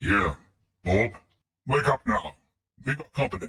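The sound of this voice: At a medium pitch, a man puts on a character voice. He goes at a moderate pace.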